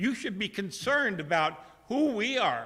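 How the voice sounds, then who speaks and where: A man's high-pitched voice with a bright, sharp tone and audible room echo. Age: 70s. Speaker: member of the public speaking at council meeting. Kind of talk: public comment. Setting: city council meeting. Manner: halting.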